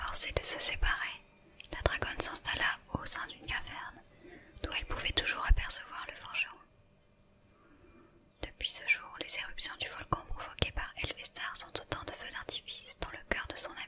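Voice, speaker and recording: Whispering amid noticeable background noise, a woman pauses long and often while her loudness swings widely. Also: moderate pace. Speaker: ASMR creator. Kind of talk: whispered book reading. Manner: whispered, soft.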